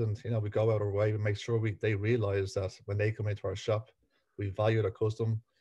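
Speaking at a fairly quick pace with a Dublin accent, a man with a fairly low pitch and a somewhat breathy, dark, mellow tone keeps a monotone, flat intonation over a quiet background. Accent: Dublin Irish. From Ireland, Dublin. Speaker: butcher business owner. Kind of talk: interview.

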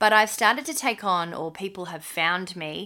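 A woman with an Australian accent, fairly slow, at a medium pitch with ordinary variation and a bright, sharp tone, on a very clean recording with a silent background. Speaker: podcast co-host. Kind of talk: casual chat.

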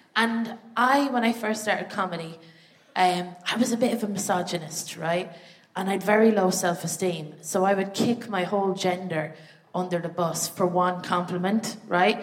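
A woman speaks at a moderate pace with an Irish accent, her pitch medium with ordinary variation. Noticeable background noise runs underneath. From Ireland. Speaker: comedian. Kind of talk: stand-up. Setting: stage with audience.

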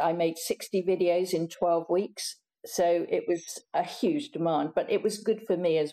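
A woman speaks with hardly any pauses and a dark, mellow tone. Her pitch is fairly low, with ordinary variation. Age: 70s. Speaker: cosmetics company founder. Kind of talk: interview.

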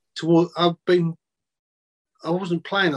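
A man with a South London accent speaks at a moderate pace, his pitch fairly high and his intonation fairly even. The sound is dry and close with no echo, over a quiet background. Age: 50s. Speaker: former footballer. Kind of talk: casual chat.

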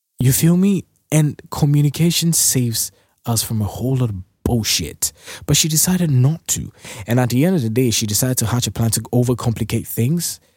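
Man at a medium pitch, somewhat breathy, with lively intonation at a fairly quick pace and a dry, close sound with no echo. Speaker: podcast host. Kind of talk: casual chat; angry rant. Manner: animated; ranting, scolding, emphatic.

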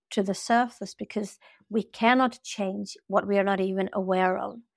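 A woman speaks at a fairly slow pace in a Swedish accent. The recording is very clean, with a silent background. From Sweden. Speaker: spiritual teacher and coach. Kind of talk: interview conversation.

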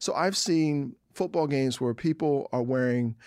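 A man with an unremarkable speaking voice talks in an American accent at a fairly high pitch, his intonation fairly even. Behind him the background is quiet. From US East Coast, Philadelphia. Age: 40s. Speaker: novelist and comic book writer. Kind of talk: interview conversation.

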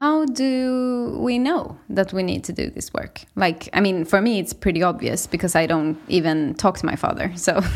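In a Swedish accent, a woman speaks at a moderate pace and medium pitch with very wide pitch swings and hardly any pauses. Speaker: podcast host. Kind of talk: interview.

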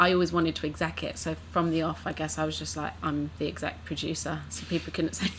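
A woman speaks in a London accent at a fairly quick pace. She leaves hardly any pauses. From East London. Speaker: actress and writer. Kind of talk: casual chat.

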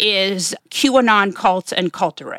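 A woman speaks with an American accent in a normal speaking voice, medium in pitch with ordinary pitch variation. The recording is very clean and dry, close with no echo and a silent background. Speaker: podcast host and pundit. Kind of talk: interview conversation.

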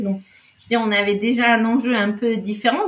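A woman talks at an unhurried, moderate rate, her medium-pitched voice rising and falling in an ordinary way, with noticeable noise behind her. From Spain. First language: Spanish (speaking French). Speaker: podcast guest. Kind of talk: casual chat.

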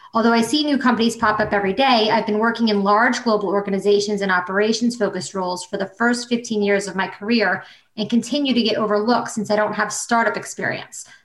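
A woman with a fairly high voice races at a very fast pace with hardly any pauses over noticeable background noise. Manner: animated, cheery and chatty, warm and enthusiastic, with laughs and exclamations.

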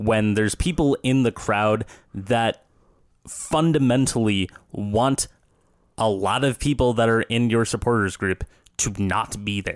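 A man speaks at a medium pitch with ordinary pitch variation. The sound is dry and close with no echo, on a very clean recording with a silent background. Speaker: soccer podcast co-host. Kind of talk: casual sports discussion. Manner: animated, comedic.

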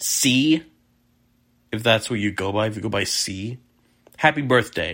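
A man's medium-pitched voice with a bright, sharp tone, at a fairly slow pace with long, frequent pauses, in a very clean recording with a silent background. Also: ordinary pitch variation. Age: 20s. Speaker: podcast host. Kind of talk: solo film-analysis monologue. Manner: casual, hesitant with frequent ums.

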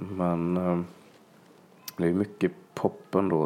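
A man speaks at a very slow pace in a dark, mellow tone. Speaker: singer-songwriter. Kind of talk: casual interview chat. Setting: host's living room.

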